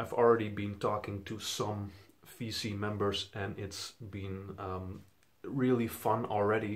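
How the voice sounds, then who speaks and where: Speaking with a Dutch accent, a man talks at a fairly low pitch and a fairly slow pace, with monotone, flat intonation and big swings in loudness. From Netherlands. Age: 20s. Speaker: vinyl collector YouTuber. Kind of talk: casual vlog introduction. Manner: casual with fillers.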